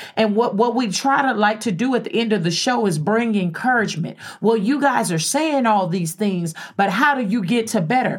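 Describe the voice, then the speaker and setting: This woman has a fairly high, somewhat breathy voice with ordinary pitch variation. She talks at a moderate pace. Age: 40s. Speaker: radio host. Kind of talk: casual chat.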